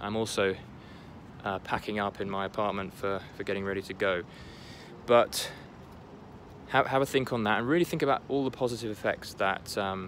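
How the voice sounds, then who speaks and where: Pitched fairly low, a man speaks at a fairly quick pace with ordinary pitch variation. He leaves long, frequent pauses. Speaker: motivational vlogger. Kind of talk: motivational talk to camera. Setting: apartment, packing up. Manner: halting, many fillers and restarts.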